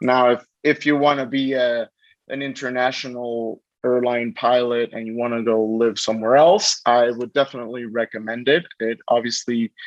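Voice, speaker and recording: A man with a Spanish accent, flat and monotone at a moderate pace, dry and close with no echo over a quiet background. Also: medium pitch for a man. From Mexico. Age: 20s. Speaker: pilot. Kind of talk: interview. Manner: halting, many repetitions.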